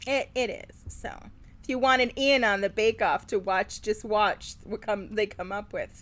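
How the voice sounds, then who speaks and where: Music plays in the background while a woman with an American accent talks at a moderate pace, fairly high in pitch with fairly even intonation. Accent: slight Midwestern, rarely slips out. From Wisconsin, Milwaukee suburbs. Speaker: podcast co-host. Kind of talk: casual chat.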